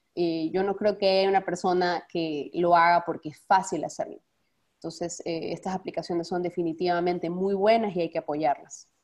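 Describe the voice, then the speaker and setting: At a fairly low pitch, a woman speaks in monotone, flat intonation. Her pace is moderate, over a quiet background. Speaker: foundation director, speaker; webinar presenter. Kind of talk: webinar presentation. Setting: video call. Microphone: webcam.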